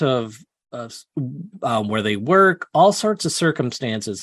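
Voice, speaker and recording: In a quiet background with a dry, close sound and no echo, a man of medium pitch speaks at a fairly slow pace with very wide pitch swings. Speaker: UFO investigator. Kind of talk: interview. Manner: halting, many fillers.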